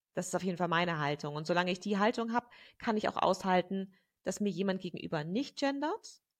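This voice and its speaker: Against a quiet background, a woman talks at a very fast pace with medium pitch and lively intonation. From Germany. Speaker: gender researcher and activist. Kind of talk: interview conversation.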